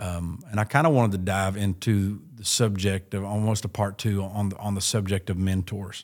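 In a very clean recording with a silent background, a man with an ordinary speaking voice talks at a fairly low pitch and a moderate pace, with fairly even intonation and hardly any pauses. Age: 40s. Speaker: pastor and podcast host. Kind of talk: casual chat. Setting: recorded on site at a church event.

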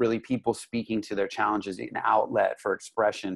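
A man speaks at a medium pitch with an American accent and fairly even intonation. The sound is dry and close with no echo, over a quiet background. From Los Angeles, US. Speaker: business coach and artist. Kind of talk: casual interview chat.

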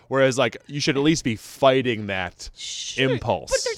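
Noticeable background noise sits under a man speaking at a medium pitch. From upstate New York. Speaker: podcast host.

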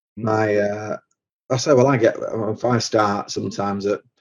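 Speaking in a Mancunian accent, a man keeps a fairly low pitch, fairly even intonation and a fairly slow pace. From Manchester, England. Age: 40s. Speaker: truck driver and app founder. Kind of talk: podcast interview. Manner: halting, many repetitions.

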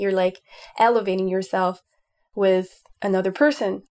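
A woman with a French accent at medium pitch and a moderate pace, fairly even in intonation, on a very clean recording with a silent background. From France. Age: 20s. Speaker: urban planner. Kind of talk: casual chat.

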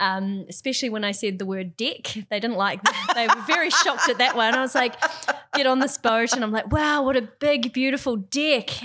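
With a New Zealand accent, a woman speaks in a high pitch at a fairly quick pace. Noticeable background noise can be heard. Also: lively intonation. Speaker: yachting industry worker. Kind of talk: casual chat.

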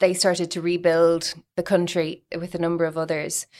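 This woman has an ordinary speaking voice. She talks at a moderate pace and a fairly low pitch. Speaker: podcast host. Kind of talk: interview, scripted intro.

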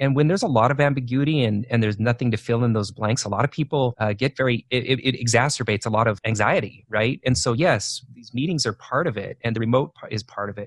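A man with an American accent talks at a very fast pace with hardly any pauses, his somewhat breathy voice at a medium pitch with ordinary pitch variation and a dry, close sound with no echo. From Idaho, US. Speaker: leadership coach. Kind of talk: interview.

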